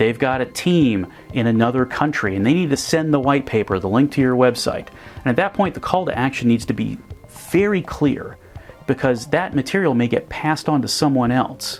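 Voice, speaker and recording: A male speaker with lively intonation, music playing behind him. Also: medium pitch for a man, moderate pace. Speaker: presenter and video parody producer. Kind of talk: explanatory presentation talk to camera.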